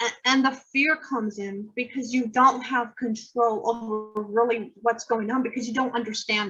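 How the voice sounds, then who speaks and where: Over background music, a woman with an American accent speaks at a moderate pace with hardly any pauses, her intonation monotone and flat while her loudness swings widely. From Idaho and Utah, US. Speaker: poet and author. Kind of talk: interview. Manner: halting.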